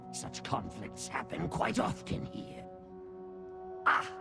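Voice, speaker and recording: Loud music plays in the background as a man speaks fairly slowly in a put-on character voice. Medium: machinima. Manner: obsequious, theatrical.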